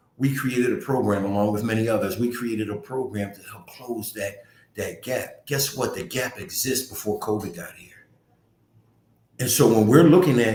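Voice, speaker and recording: A man with an American accent, animated and somewhat breathy, at a moderate pace and medium pitch with ordinary pitch variation, amid audible room echo. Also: big swings in loudness. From US, North Philadelphia. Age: 60s. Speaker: community nonprofit director. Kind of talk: community talk livestream.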